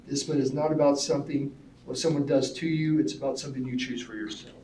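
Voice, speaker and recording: Audible room echo surrounds a man speaking at a fairly quick pace. His pitch is fairly high and his intonation fairly even. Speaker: school staff presenter. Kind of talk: presentation to school board. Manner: mumbling.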